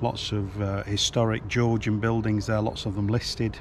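Over light background noise, a man speaks at a moderate pace in a monotone, flat intonation, the sound dry with no echo. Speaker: travel vlogger. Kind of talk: casual vlog chat. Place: street. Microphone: phone near.

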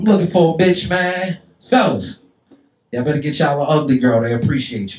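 Speaking at a very fast pace, a man with a fairly high pitch and a somewhat breathy voice uses lively intonation and big swings in loudness, with audible room echo. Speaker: stand-up comedian. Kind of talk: stand-up comedy set, crude and profane, roasting the crowd. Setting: stage with live audience in a comedy club. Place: stage.

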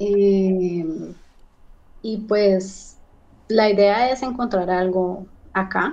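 A woman with a dark, mellow tone speaks with fairly even intonation. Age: 30s. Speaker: recent migrant, job seeker; interview guest. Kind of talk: interview testimony. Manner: hesitant, many fillers. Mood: calm, somewhat worried. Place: home room. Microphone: video call.

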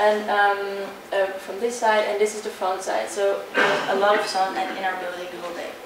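In a room with audible echo and noticeable background noise, a woman talks at a moderate pace. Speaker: presenter. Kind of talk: presentation. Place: hall. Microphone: camera far.

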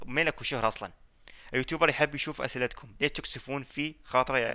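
A man speaks at a fairly quick pace with a medium pitch and a bright, sharp tone. The background is quiet. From Iraq, Baghdad; Iraq. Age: 20s. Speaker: gaming YouTuber. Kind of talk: casual Q&A reading comments. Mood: joking, teasing. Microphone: headset.

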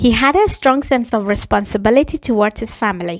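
The intonation is lively. The sound is dry and close, with no echo. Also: woman. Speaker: English teacher. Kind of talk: language lesson.

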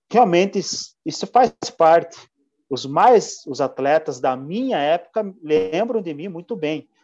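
A man with a high voice, very slow pace, lively intonation, and big swings in loudness. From Santa Catarina, Brazil (São Bento do Sul). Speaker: mountain bike racer. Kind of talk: interview.

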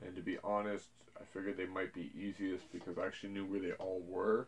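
The speaker is a man. Light background noise sits behind him. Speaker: collector channel host. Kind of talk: casual vlog chat. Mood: relaxed, mildly excited. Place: home room.

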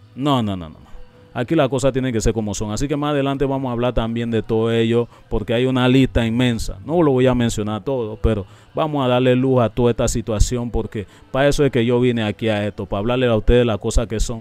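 Someone talks at a very fast pace in a dry sound with no echo, with faint music in the background. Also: man. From Panama. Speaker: YouTube reaction channel host. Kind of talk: commentary video explaining an interview. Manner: animated. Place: studio. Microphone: studio mic.

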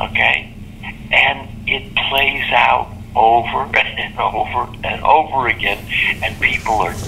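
A man speaking amid noticeable background noise. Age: 80s+. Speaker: inventor. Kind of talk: interview answer.

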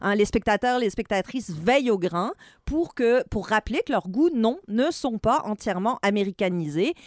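Very clean and set against a silent background, this recording features a woman with an ordinary speaking voice at a fairly high pitch. She talks at a moderate pace with lively intonation. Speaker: film and TV critic. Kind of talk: opinion discussion.

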